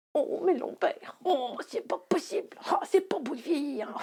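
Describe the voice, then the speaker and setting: A woman performs a put-on character voice at an extremely high pitch. She moves at a moderate pace with very wide pitch swings. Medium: read story. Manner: grumbling, scolding.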